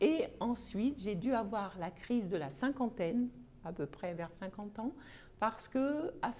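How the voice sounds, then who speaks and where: A woman speaks fairly slowly in a somewhat breathy, fairly high voice with lively intonation. Her tone is dark and mellow. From Paris, France. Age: 60s. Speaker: vlogger, personal development. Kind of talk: casual self-introduction monologue. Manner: hesitant, with frequent fillers.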